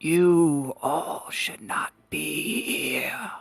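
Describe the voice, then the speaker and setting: This is a put-on character voice with a raspy sound. It sits at a middle pitch. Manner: ominous, threatening.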